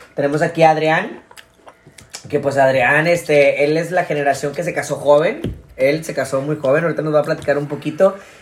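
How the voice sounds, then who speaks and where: At a fairly quick pace and with fairly even intonation, a man with a Mexican accent speaks at a fairly high pitch against noticeable background noise. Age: 20s. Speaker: podcast host. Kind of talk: casual chat.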